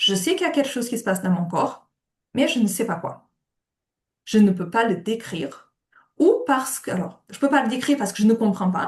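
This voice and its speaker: This woman's fairly high, somewhat breathy voice moves through very wide pitch swings, broken by long, frequent pauses. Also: fairly quick pace. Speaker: occupational therapist. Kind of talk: webinar lecture.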